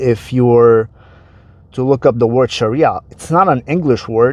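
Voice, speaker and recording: This man speaks at a moderate pace in an Arabic accent. His pitch sits in the medium range and varies in an ordinary way. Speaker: online commentator. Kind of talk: explainer monologue. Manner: casual, conversational.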